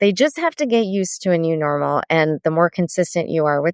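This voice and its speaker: A woman with an ordinary speaking voice, fairly low pitch, lively intonation and a fairly quick pace, over a quiet background. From Sri Lankan heritage, US. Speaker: therapist and author. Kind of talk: casual podcast interview.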